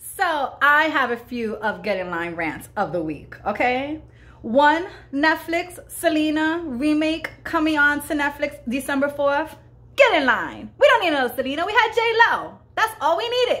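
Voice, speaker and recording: A woman with an American accent speaks at a high pitch in an animated tone. Her pitch swings very widely. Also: moderate pace. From Bronx, New York. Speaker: comedian show host. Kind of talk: comedic angry rant to camera. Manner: animated, indignant, sarcastic. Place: home room. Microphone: phone near.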